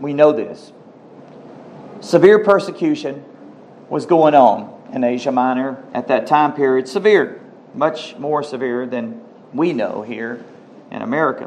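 In a room with audible echo and noticeable background noise, a man with a fairly high pitch speaks at a fairly slow pace, with lively intonation, big swings in loudness and long, frequent pauses. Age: 50s. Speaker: pastor. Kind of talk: sermon.

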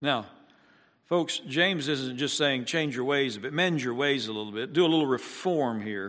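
A man with an ordinary speaking voice talks fairly high in pitch, with ordinary pitch variation and a moderate tempo. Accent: American. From US Midwest. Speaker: pastor. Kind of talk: sermon. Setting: church.

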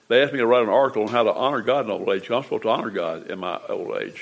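A man with an American accent, medium pitch, a very fast pace and noticeable background noise. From United States. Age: 80s+. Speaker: church member. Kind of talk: testimony. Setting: church.

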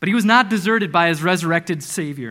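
A man's raised, projected voice, bright and sharp in tone, with lively intonation at a very fast pace, on a very clean recording with a silent background. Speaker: preacher. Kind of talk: sermon. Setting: church. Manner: animated.

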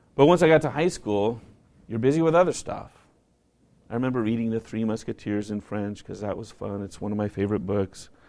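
An American-accented man's dark, mellow, medium-pitched voice, fairly quick and lively in intonation, with big swings in loudness over a quiet background. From northern US, near Canada. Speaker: pastor. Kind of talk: sermon.

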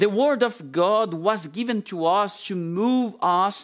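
A man speaks with a non-native accent at a very slow pace. The recording is very clean, with a silent background. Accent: foreign, non-native English. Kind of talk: sermon. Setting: church. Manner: halting with many fillers.

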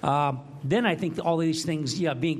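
A man's fairly high-pitched voice, with fairly even intonation, comes through noticeable background noise. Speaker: Bible study participant. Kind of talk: casual group discussion. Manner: halting.

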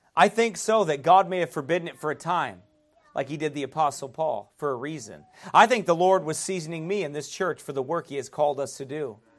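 Music plays in the background while a man speaks at a fairly high pitch. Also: ordinary pitch variation, fairly quick pace. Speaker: pastor. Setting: church. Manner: earnest and exhorting, with rhetorical questions and chuckles; conversational with frequent fillers and restarts.

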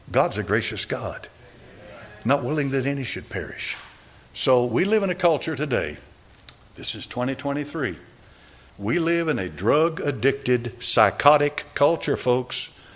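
Amid noticeable background noise, a man with a fairly high pitch speaks at a fairly slow pace, with long, frequent pauses. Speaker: preacher. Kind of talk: sermon. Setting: church.

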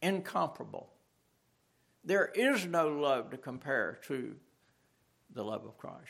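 A man talks fairly slowly with long, frequent pauses and big swings in loudness. His voice is fairly high-pitched, with vocal fry. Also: lively intonation. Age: 70s. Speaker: pastor. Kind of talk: sermon. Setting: church.

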